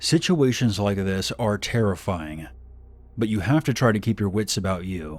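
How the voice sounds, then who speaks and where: A man with an unremarkable speaking voice talks at a fairly low pitch and moderate pace with lively intonation, on a very clean recording with a silent background. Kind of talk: horror story narration.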